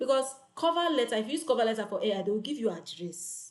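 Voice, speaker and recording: Loud, animated delivery with lively intonation. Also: woman. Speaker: online freelancing coach. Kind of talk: live tutorial.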